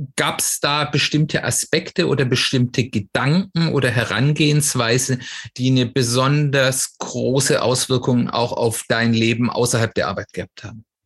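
A man with a somewhat breathy voice speaks at a moderate pace and a medium pitch. His pitch variation is ordinary, and the background is quiet. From Swabia, southwestern Germany. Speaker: podcast host. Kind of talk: interview.

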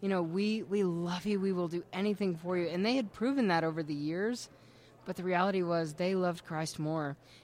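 A woman at a fairly quick pace, medium in pitch, with an ordinary speaking voice and ordinary pitch variation. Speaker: testimony speaker. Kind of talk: testimony.

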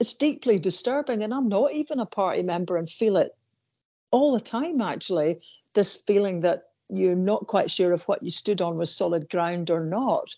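A woman in a Scottish accent, lively in intonation, at a moderate pace. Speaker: podcast co-host, columnist. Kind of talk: casual chat.

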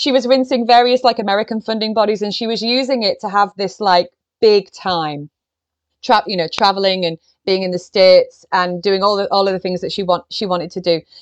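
A woman with an ordinary speaking voice talks at a fairly quick pace, her pitch medium and its variation ordinary. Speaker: literary biographer. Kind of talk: casual interview.

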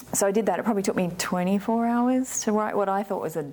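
This woman talks at a fairly quick pace. She has an Australian accent. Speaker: winemaker. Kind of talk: oral history interview, telling her life story in a relaxed conversational way. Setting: in-person interview in a library. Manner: animated, chatty, laughs often.

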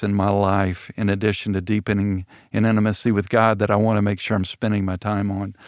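A man's fairly low, monotone voice at a moderate pace, dry and close with no echo, in a very clean recording with a silent background. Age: 60s. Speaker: church elder. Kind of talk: casual chat. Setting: studio. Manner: halting.

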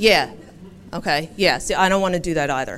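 Her pitch is medium for a woman, rising and falling with ordinary variation. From Philadelphia, US. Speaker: interfaith community organizer. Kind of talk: public talk. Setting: live event with audience.

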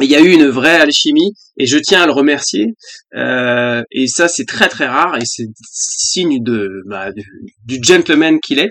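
Very slowly, a man with fairly high pitch speaks in lively intonation. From France, Paris region (Val-de-Marne). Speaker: former national baseball player and TV baseball commentator. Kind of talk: casual interview chat. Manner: hesitant, many fillers.

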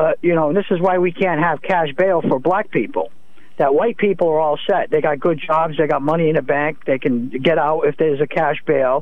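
Fairly high in pitch with ordinary variation, a man talks at a fairly quick pace and very even loudness over noticeable background noise. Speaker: caller. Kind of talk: phone-in political chat. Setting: phone call.

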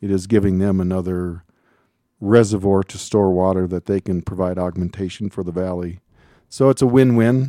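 A man with an American accent speaks at a moderate pace in a very deep, low pitch, with a dark, mellow tone and fairly even intonation. The sound is dry and close with no echo, on a very clean recording with a silent background. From Minnesota. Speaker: water district operator. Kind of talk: radio interview.

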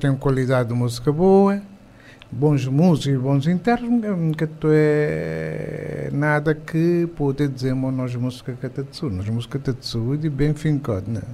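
With an ordinary speaking voice, a man speaks at a fairly slow pace and fairly high pitch, using ordinary pitch variation. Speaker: music composer. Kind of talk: casual interview. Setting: studio.

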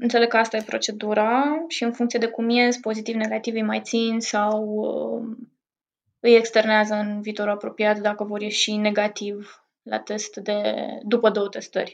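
Her voice sits fairly high in pitch. This woman speaks with monotone, flat intonation. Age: 20s. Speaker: psychotherapist and painter. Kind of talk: interview.

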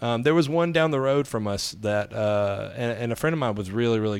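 Speaking very fast in a Southern US accent, a man uses a fairly low pitch with ordinary pitch variation. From US South, Alabama. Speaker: comedian. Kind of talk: casual chat.

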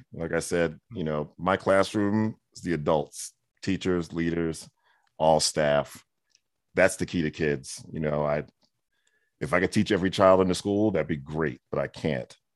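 An American-accented man with a very deep, low pitch and ordinary pitch variation talks at a fairly slow pace on a very clean recording with a silent background. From New York (Brooklyn and Queens). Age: 50s. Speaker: education consultant and speaker, former principal. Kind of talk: interview.

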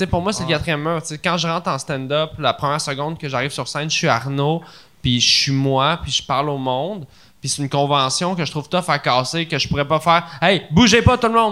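Fast-ish and animated, a man with a Quebec accent speaks at a fairly high pitch in a bright, sharp tone. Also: ordinary pitch variation. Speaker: comedian. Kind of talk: casual chat.

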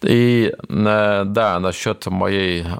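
This man's voice sits at a fairly low pitch. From Kyrgyzstan (Soviet era), village; raised in Germany from age 9. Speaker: missionary. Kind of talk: testimony. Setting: studio. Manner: halting.

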